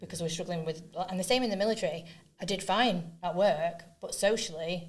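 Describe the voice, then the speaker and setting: Somewhat breathy and fairly quick, a woman talks in a room with audible echo. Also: fairly low pitch for a woman. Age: 40s. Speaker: neuroinclusion advocate and trainer. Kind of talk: podcast interview. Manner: speeds up when excited.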